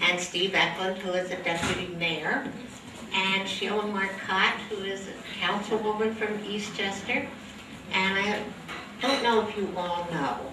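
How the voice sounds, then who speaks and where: A woman at a fairly slow pace with ordinary pitch variation, amid audible room echo and noticeable background noise. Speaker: event host. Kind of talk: event announcement. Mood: warm, cheerful. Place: hall.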